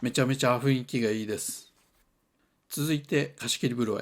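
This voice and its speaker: A man speaks with a slight Toyama accent. The recording is very clean, with a silent background. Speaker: hot spring travel reviewer. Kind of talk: travel vlog narration.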